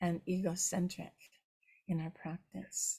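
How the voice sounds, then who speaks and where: Dark and mellow in tone, the woman's voice is also somewhat breathy. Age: 70s. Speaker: Buddhist nun and teacher. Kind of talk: dharma talk. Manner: halting, with frequent fillers.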